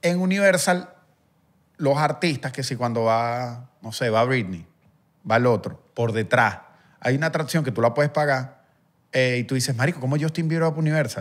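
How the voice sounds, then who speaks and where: A man with a Caracas accent speaks at a moderate pace and a medium pitch, his intonation lively. Long pauses come often, over a quiet background. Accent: Venezuelan Spanish (Caracas area). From Venezuela, Guatire (Miranda); Venezuela. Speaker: musician; podcast guest or host. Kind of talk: casual chat. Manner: animated. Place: studio. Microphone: studio mic.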